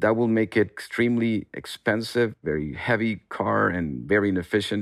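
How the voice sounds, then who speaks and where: A man with an ordinary speaking voice, fairly low in pitch, with lively intonation, in a very clean recording with a silent background and a dry, close sound with no echo. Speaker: space scientist, research center director. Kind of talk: interview.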